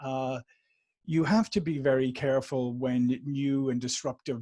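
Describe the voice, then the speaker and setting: In an Irish accent, a man talks at a fairly slow pace and fairly high pitch, with ordinary pitch variation. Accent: Irish, warm. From Ireland, Dublin. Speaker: sales and marketing executive. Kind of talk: podcast interview.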